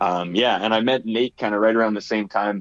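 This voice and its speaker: A man with a Canadian accent, fairly low pitch, an ordinary speaking voice and a moderate pace. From Saskatchewan, Canada. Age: 30s. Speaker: musician. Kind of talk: casual chat.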